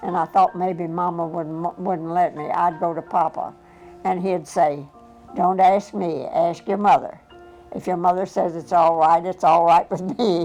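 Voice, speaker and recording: Music plays in the background as the speaker talks at a fairly slow pace with fairly even intonation. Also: woman, fairly low pitch for a woman. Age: 80s+. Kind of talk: interview answer.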